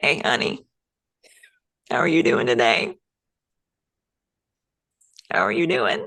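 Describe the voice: A raspy, put-on character voice at middle pitch, fairly slow, with long, frequent pauses.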